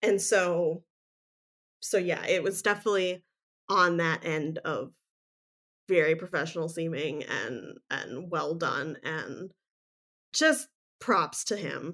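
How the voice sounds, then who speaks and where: At a very slow pace, a woman speaks with a fairly low pitch and ordinary pitch variation, pausing long and often. The recording is very clean, with a silent background. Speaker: podcast co-host. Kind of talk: casual chat.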